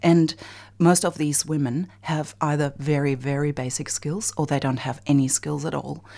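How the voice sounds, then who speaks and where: With a German accent, a woman speaks at a moderate pace in a very deep, low pitch, keeping her intonation fairly even. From Germany. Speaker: bicycle advocacy organization director. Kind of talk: radio interview.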